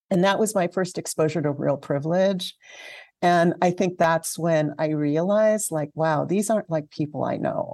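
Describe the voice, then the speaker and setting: A woman speaks with an American accent in a fairly low, dark, mellow voice at a moderate pace. Her intonation stays fairly even, and the sound is dry and close with no echo. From Southern California (Alhambra). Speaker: community archivist. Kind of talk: interview. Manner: halting, with fillers.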